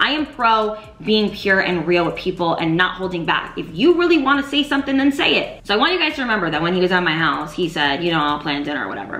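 Room echo is audible as a woman talks at a very fast pace with hardly any pauses. Her pitch swings very widely. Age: 20s. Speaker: lifestyle YouTuber. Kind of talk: storytime vlog. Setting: home video recording. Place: home room.

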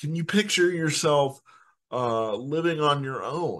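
Speaking with an American accent, a man talks at a fairly slow pace and fairly high pitch, with ordinary pitch variation, against a quiet background. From Indiana, US Midwest. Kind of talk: solo podcast monologue. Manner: animated.

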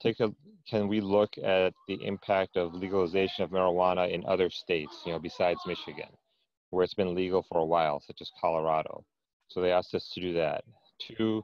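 A man talks at a fairly quick pace. His pitch is very deep and low. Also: fairly even intonation, dry sound with no echo. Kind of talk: meeting report. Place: home room. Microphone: earbuds.

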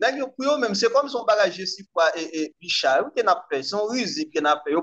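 A man talks at a fairly quick pace with very wide pitch swings over a quiet background. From Haiti. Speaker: commentator on Haitian politics. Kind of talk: political discussion. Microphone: video call.

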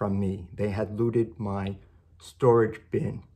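A man speaks at a fairly low pitch, his slightly mellow tone roughened by vocal fry.

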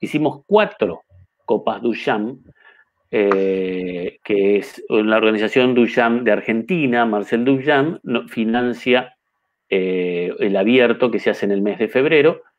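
Very slow speech from a man, with ordinary pitch variation and a quiet background. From Uruguay, Carmelo; Uruguay. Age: 50s. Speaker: chess master and federation president; interviewee. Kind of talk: interview. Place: home room. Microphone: webcam.

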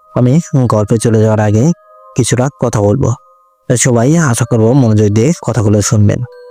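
A man's medium-pitched voice with fairly even intonation and music in the background. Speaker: radio jockey, horror story narrator. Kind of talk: casual greeting to audience.

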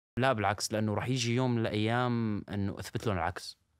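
In a dry sound with no echo and a quiet background, a man speaks at a fairly low pitch. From Syria, Al-Hasakah; Syria. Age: 20s. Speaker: social media personality and singer; podcast guest. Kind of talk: interview. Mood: defensive but calm. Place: studio. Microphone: studio mic.

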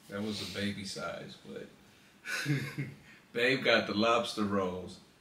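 Room echo is audible along with light background noise. A man is speaking. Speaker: vlogger. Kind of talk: casual chat. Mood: relaxed, storytelling. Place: home room. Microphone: phone near.

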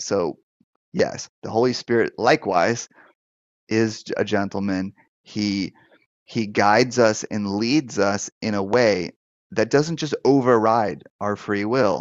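In a dry recording with no echo and a quiet background, a man with a fairly low pitch talks at a very slow pace with ordinary pitch variation. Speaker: pastor and deliverance minister. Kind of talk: live-stream Q&A show, pastoral teaching. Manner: conversational, hesitant with fillers. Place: office. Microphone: headset.

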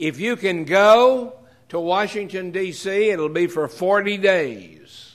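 A man talks at a very slow pace, the background around him quiet. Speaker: preacher or pastor. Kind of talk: sermon. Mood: earnest, announcing an event. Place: church. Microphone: podium.

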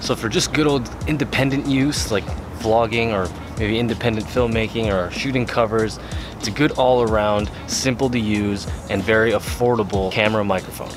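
A man talks at a moderate pace with ordinary pitch variation. Clear music plays in the background, and the sound is dry with no echo. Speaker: gear reviewer. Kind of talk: product review. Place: home room.

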